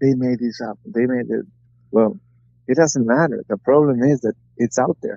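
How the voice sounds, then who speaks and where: With a Spanish accent, a man speaks at a medium pitch and moderate pace in a dark, mellow tone, with ordinary pitch variation, long, frequent pauses, and a dry, close sound with no echo. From Mexico, Guanajuato. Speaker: retired boxer. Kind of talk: interview. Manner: halting.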